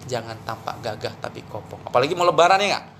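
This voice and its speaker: Speaking at a very fast pace, a man with a high pitch sounds animated, his intonation lively over noticeable background noise. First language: Javanese (speaking Indonesian). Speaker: Islamic preacher. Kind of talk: religious talk.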